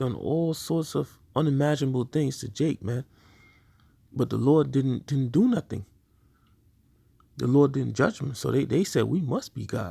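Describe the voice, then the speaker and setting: A man's fairly high voice, dark and mellow in tone and somewhat breathy, with ordinary pitch variation, a moderate pace and long, frequent pauses. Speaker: religious teacher. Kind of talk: sermon. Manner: stuttering.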